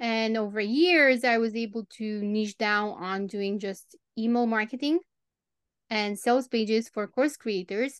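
With a Romanian accent, a woman speaks fairly slowly in a fairly high voice, with ordinary pitch variation and a dry, close sound with no echo. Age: 30s. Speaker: copywriter and copy coach. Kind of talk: interview.

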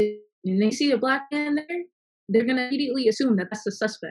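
Very fast, somewhat breathy woman's voice with an American accent. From Virginia. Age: young. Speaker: recording engineer and music artist. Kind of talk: group discussion.

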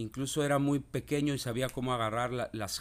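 A man with a plain, everyday voice, fairly even intonation and a moderate pace. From Mexico, Veracruz port. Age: 40s. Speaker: podcast host. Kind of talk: reflective monologue.

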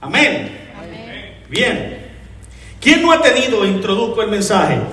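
Through audible room echo and noticeable background noise, a man speaks at a fairly slow pace with an animated tone and lively intonation. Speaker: pastor. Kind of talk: sermon. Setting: church.

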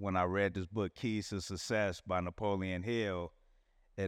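The man's pitch is very deep and low, and his intonation is fairly even. He speaks at a moderate pace with a quiet background. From Chicago. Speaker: film director. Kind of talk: casual interview storytelling.

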